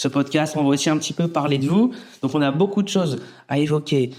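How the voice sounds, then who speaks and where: A man speaks at a fairly quick pace with a fairly high pitch. His is an unremarkable speaking voice. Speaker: podcast host. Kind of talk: podcast interview intro.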